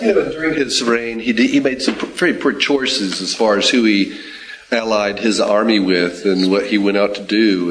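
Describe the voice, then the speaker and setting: A man speaks at fairly low pitch. Noticeable background noise can be heard. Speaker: class member. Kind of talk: group discussion comment.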